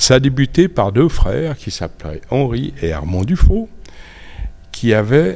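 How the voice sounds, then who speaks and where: A man with a Geneva accent speaks at a medium pitch and a very slow pace, his pitch swinging very widely between long, frequent pauses. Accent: Swiss French (Geneva). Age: 70s. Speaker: motorcycle collector. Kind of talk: interview. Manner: halting.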